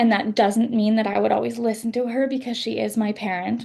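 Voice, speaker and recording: A woman's fairly high, somewhat breathy voice carries a dark, mellow tone and fairly even intonation. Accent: Canadian. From western Canada. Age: 20s. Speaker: author. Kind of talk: interview.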